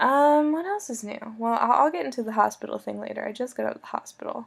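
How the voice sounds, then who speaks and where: A quiet voice with an American accent talks at a very fast pace. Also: woman, big swings in loudness. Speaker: video blogger. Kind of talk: casual video message to a friend. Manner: loud talker; trying to stay quiet.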